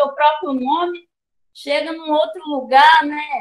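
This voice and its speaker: Against a quiet background, a woman with a high pitch talks at a very slow pace. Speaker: quilombo community leader and storyteller; storyteller. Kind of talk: oral history storytelling in a panel. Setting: video call. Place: home room. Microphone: video call.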